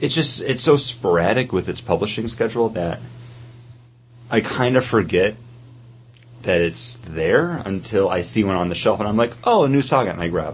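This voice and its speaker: Long, frequent pauses break up a man's speech. His intonation is lively and his voice somewhat breathy. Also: medium pitch for a man, moderate pace. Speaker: podcast co-host. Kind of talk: casual chat. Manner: stutters.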